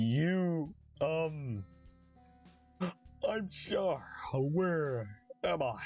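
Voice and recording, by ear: A put-on character voice with lively intonation sits at a low-to-middle pitch, with faint music in the background.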